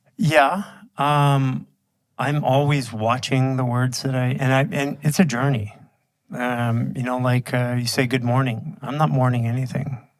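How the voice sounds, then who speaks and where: Speaking at a fairly slow pace, a man has a medium pitch, fairly even intonation and a normal speaking voice. The recording is very clean, with a silent background. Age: 50s. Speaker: bodywork instructor and entrepreneur. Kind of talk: casual chat.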